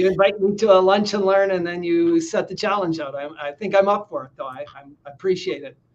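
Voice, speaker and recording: In a Canadian accent, the speaker goes at a fairly quick pace with hardly any pauses, ordinary pitch variation and big swings in loudness. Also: man, high pitch for a man. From Northern Ontario, Canada. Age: 60s. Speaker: NLP trainer and trauma specialist, former helicopter pilot. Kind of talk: live online interview.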